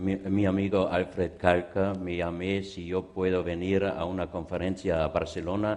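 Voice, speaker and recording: A man with a very deep, low pitch speaks at a fairly slow pace in a monotone, flat delivery, with hardly any pauses. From Austria (Vienna). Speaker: lecturer, art exhibition expert. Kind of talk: conference talk. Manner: halting, non-native.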